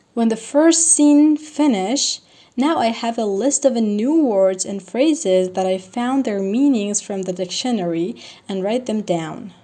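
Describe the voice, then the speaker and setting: A woman with a Persian accent talks at a fairly slow pace. Her fairly high voice has lively intonation. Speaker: language learning vlogger. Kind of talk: tutorial.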